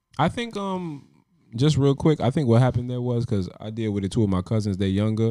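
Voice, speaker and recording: A man's dark, mellow voice at a fairly quick clip, with lively intonation, on a very clean recording against a silent background. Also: medium pitch for a man. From US, Caribbean-American family (Jamaica, Saint Kitts). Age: 20s. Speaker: music podcast co-host. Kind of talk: casual chat.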